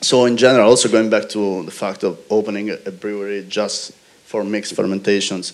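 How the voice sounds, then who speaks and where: At a fairly quick pace, a man with a fairly low pitch talks in a monotone, flat intonation while his loudness swings widely. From Italy. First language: Italian. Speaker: brewer. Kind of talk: panel discussion.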